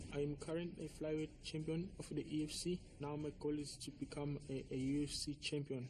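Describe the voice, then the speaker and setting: A man speaks at a fairly high pitch with monotone, flat intonation. His voice is somewhat breathy, with hardly any pauses. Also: fairly quick pace. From South Africa, Johannesburg. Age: 20s. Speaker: MMA fighter. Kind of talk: self-introduction.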